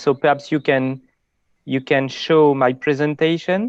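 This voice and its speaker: A man speaks fairly slowly in a fairly high pitch, in a French accent with fairly even intonation. The background is quiet. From France. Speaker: conservationist. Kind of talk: casual chat.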